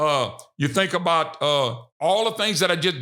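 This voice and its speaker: A man with a Louisiana accent, animated and fairly quick, his bright, sharp tone carried by lively intonation. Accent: Southern US (Louisiana). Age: 60s. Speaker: political talk show host. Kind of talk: political commentary monologue.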